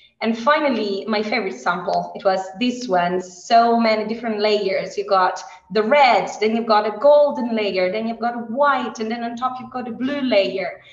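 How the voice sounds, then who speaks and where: A woman with an Italian accent speaks at a fairly high pitch and a moderate pace, with ordinary pitch variation and hardly any pauses. Audible room echo surrounds her voice. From Italy. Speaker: heritage scientist, postdoctoral researcher. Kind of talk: educational presentation. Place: classroom. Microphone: video call.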